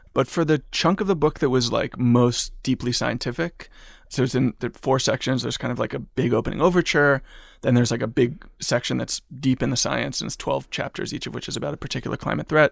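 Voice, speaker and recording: Fairly quick and medium in pitch, a man's voice with vocal fry and ordinary pitch variation comes through on a very clean recording with a silent background. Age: 30s. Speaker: journalist and author. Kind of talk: interview.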